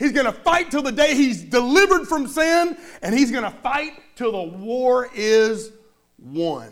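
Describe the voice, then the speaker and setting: Speaking at a fairly slow pace, a man with an extremely high voice uses lively intonation and a warm, animated tone. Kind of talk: sermon. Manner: animated, call-and-response preaching, urging the congregation to say amen; conversational and warm, with light humor.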